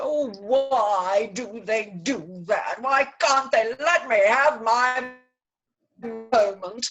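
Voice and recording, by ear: A put-on character voice at a fairly high pitch and a very slow pace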